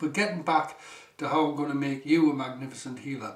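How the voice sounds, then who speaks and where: A speaker with a strong Geordie accent is heard through noticeable background noise and audible room echo. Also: man. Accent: northeast English (Geordie), strong. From northeast England, South Shields. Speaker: healing teacher, former electrician. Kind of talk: seminar talk.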